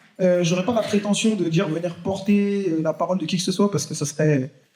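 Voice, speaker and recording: A man speaks at a high pitch. His pace is fairly quick, with ordinary pitch variation. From Paris suburbs, France. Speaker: activist panelist. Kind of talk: panel talk at public conference. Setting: theatre stage with audience. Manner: fast; hesitant, many fillers.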